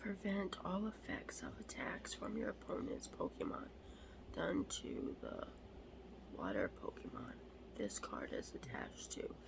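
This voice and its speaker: In a whisper, someone speaks fairly slowly while noticeable background noise goes on. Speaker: ASMR creator. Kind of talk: ASMR card show-and-tell.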